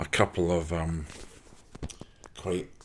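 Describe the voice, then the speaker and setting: Speaking at a fairly slow pace, a man with a Glasgow accent has a very deep, low pitch and a somewhat breathy voice. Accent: Scottish (Glasgow). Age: 60s. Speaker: motorcycle brochure collector. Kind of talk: casual show-and-tell monologue. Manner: halting, many fillers.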